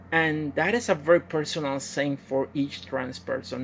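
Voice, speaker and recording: A woman with a Puerto Rican accent has a very deep, low pitch and ordinary pitch variation. Vocal fry runs through her voice. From Puerto Rico. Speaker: professional wrestler. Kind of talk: personal testimony. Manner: halting, many fillers.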